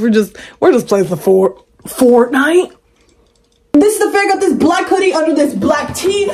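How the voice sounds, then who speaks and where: Speech at a moderate pace carries audible room echo over light background noise. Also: woman. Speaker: vlogger. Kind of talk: casual vlog chat. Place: bathroom. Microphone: phone near.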